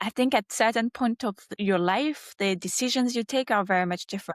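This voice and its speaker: A woman's unremarkable speaking voice, fairly high in pitch with ordinary pitch variation, in a dry, close sound with no echo. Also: quiet background. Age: 30s. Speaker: marketing executive. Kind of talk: podcast interview.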